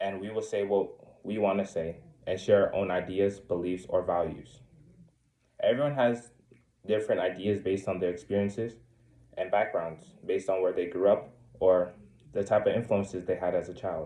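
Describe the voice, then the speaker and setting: Long, frequent pauses break up a man's speech, delivered at a moderate pace. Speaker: student. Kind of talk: class presentation. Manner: halting.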